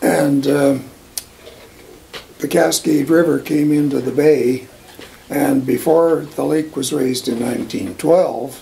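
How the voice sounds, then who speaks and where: A western Canadian accent at a very slow pace, with fairly even intonation, long, frequent pauses and noticeable background noise. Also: man, fairly high pitch for a man. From Alberta, Canada. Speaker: oral history interviewee. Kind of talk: oral history interview.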